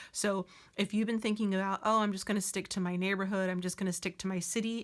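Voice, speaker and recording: Speaking at a very fast pace, the woman keeps a medium pitch and a monotone, flat intonation. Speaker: tarot reader. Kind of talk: tarot reading. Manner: filler words, hesitant.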